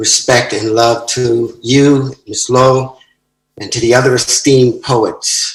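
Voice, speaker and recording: Somewhat breathy, a man with an American accent speaks at medium pitch with fairly even intonation. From United States. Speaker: poet. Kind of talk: poetry reading; brief greeting.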